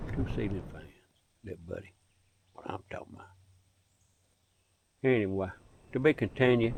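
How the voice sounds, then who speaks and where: With a Southern US accent, a man speaks at a fairly quick pace and medium pitch, with ordinary pitch variation, big swings in loudness and long, frequent pauses. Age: 70s. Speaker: outdoorsman vlogger. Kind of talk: casual monologue.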